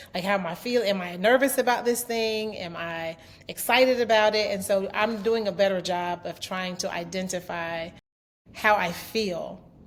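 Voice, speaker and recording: Noticeable background noise runs under the recording. A woman speaks at a medium pitch with ordinary pitch variation. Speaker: podcast guest, entrepreneur and mother. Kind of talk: casual interview chat. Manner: loud and fast when excited; halting, many fillers and restarts.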